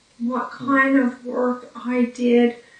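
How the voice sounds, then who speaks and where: A woman's high-pitched, monotone voice with flat intonation at a very slow pace, amid noticeable background noise. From Newfoundland, Canada. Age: 40s. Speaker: brain injury survivor. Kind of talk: personal testimony. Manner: hesitant, with fillers.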